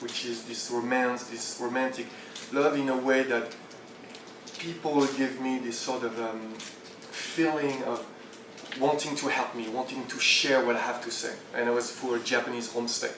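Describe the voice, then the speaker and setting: With a French accent, a man talks at a medium pitch in monotone, flat intonation with long, frequent pauses, amid noticeable background noise and audible room echo. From France, Champagne region. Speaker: entrepreneur and speaker. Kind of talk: conference talk. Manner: halting.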